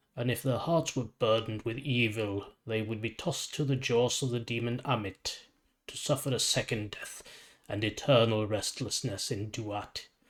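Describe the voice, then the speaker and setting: A man's put-on character voice, gravelly and rumbling, at a medium pitch with fairly even intonation and a moderate pace. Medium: read story. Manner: calm, measured.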